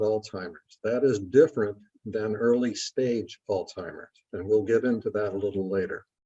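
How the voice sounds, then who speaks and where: Speaking at a moderate pace, a man uses a dark, mellow tone with ordinary pitch variation. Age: 80s+. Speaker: course instructor. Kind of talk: lecture. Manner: frequent filler 'uh' pauses.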